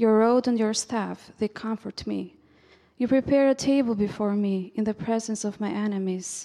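At a moderate pace, a woman with a fairly high pitch and a dark, mellow tone speaks with fairly even intonation. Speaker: scripture reader. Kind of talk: reading aloud. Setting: church.

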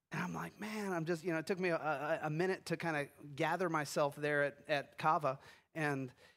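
On a very clean recording with a silent background, a man with a fairly high pitch and a plain, everyday voice speaks at a moderate pace. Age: 50s. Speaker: pastor. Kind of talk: sermon.

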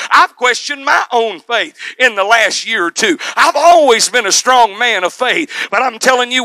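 Noticeable background noise sits behind a man using a raised, projected voice at an extremely high pitch and moderate pace, in a dry, close sound with no echo. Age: 40s. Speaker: preacher. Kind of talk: sermon. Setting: church. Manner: loud.

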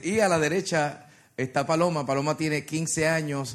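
The speaker is a man with a fairly high pitch. His tone is animated. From Puerto Rico. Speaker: worship leader and preacher. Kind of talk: sermon. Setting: church with congregation.

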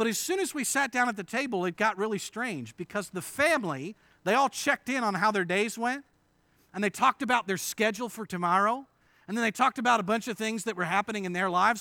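A man with an American accent speaks very fast in a high, raised, projected voice with a bright, sharp tone and lively intonation. The sound is dry and close with no echo, on a very clean recording with a silent background. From western Pennsylvania, Indiana PA. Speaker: pastor. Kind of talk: sermon. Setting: church.

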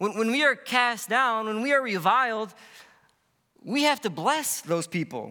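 In a raised, projected voice, a man sounds bright and sharp in tone, high-pitched with lively intonation. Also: fairly slow pace. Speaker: preacher. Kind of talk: sermon.

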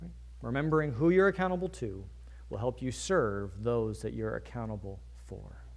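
Big swings in loudness mark this man's speech at a moderate pace. Audible room echo fills the space around him. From Virginia. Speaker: pastor. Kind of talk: sermon.

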